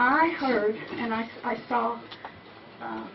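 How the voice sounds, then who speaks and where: A woman's high-pitched voice with an American accent, plus noticeable background noise and audible room echo. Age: 70s. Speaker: audience member asking a question. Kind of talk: audience question at a talk.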